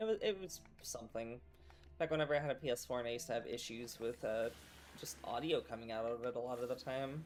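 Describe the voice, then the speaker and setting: Over music in the background, the speech moves at a very fast pace. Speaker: streamer. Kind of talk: casual gaming stream chat. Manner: soft-spoken.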